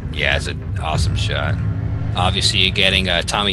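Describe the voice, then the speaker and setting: Clear music sits in the background behind a man's talking. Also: dry sound with no echo. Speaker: podcast guest or host. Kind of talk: casual podcast discussion. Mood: enthusiastic about fan film. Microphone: headset.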